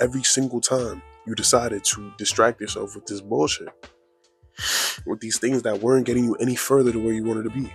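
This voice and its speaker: Over music in the background, a man with a medium pitch talks at a fairly quick pace. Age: 20s. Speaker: motivational YouTuber. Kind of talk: casual motivational talk to camera. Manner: casual, conversational.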